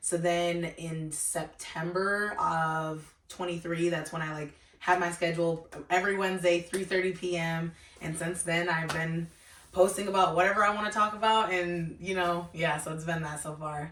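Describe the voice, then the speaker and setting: A woman amid noticeable background noise and audible room echo. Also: fairly low pitch for a woman, moderate pace. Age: 20s. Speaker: YouTuber and student. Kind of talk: casual interview. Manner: animated.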